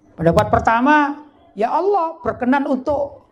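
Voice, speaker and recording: A man speaks with lively intonation. Audible room echo surrounds the voice. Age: 50s. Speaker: Islamic cleric. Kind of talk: sermon. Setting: religious gathering with audience. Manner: conversational, asks audience questions.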